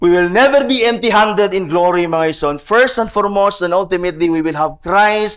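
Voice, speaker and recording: Against a quiet background, a man talks in a high pitch with lively intonation. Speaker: pastor. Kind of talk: sermon. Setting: church. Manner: earnest, preaching, mixes English and Cebuano. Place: church. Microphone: podium.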